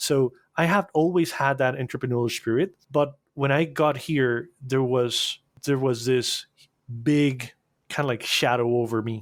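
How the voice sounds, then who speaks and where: In a very clean recording with a silent background, a man with a Spanish accent speaks fairly slowly at a medium pitch with ordinary pitch variation. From Costa Rica. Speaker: animation agency owner. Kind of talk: podcast interview. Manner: halting, repeats words.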